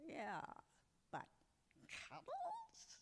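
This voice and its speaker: Someone does a put-on character voice at an extremely high pitch. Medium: stage play.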